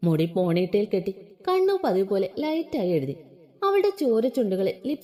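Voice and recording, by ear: Natural-sounding read-aloud speech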